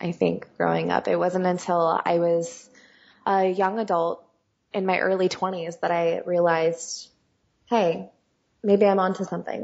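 A woman with a West Coast American accent speaks at a fairly low pitch and a fairly slow pace. Her delivery is flat and monotone, broken by long, frequent pauses. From US West (California). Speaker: singer and songwriter. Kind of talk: interview conversation.

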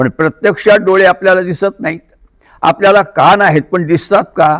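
A man speaks with a high pitch and ordinary pitch variation. The sound is dry and close, without any echo. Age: 70s. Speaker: kirtan preacher. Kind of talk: interview.

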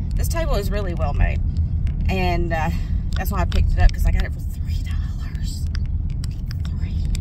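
Loud background noise accompanies a woman's speech. There is no echo, and the sound is dry. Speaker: reseller vlogger. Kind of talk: casual vlog chat. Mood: happy, excited about find. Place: car. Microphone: phone near.

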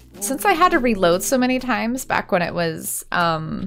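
Over light background noise, a woman speaks at a fairly slow pace in a fairly high pitch that swings very widely. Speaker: let's play gamer. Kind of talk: casual gameplay commentary. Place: home room.

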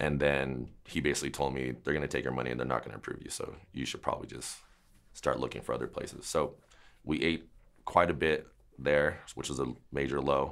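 Over a quiet background, a man with a very deep, low pitch and vocal fry speaks at a fairly quick pace in a monotone, flat intonation. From US West, San Jose, California; California. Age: 30s. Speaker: dog trainer. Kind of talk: interview. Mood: calm, reflective storytelling. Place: shop.

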